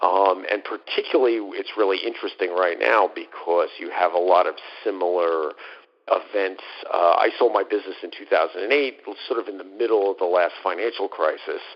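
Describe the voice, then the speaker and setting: With a New York accent, a man talks at a fairly quick pace over noticeable background noise. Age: 50s. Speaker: former fund manager. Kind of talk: interview. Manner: halting, many fillers.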